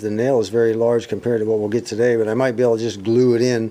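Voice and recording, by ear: With a dark, mellow tone, a man speaks at medium pitch and fairly even intonation.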